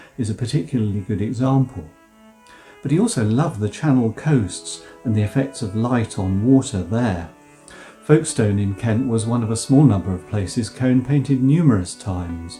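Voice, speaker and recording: A man talks with lively intonation. Background music plays throughout. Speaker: professor of English. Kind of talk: art history narration.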